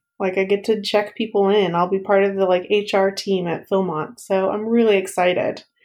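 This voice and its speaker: A woman speaks with hardly any pauses. Her intonation is flat and monotone. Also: medium pitch for a woman, moderate pace. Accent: American. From East Texas. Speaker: former summer camp staff member. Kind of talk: casual interview chat.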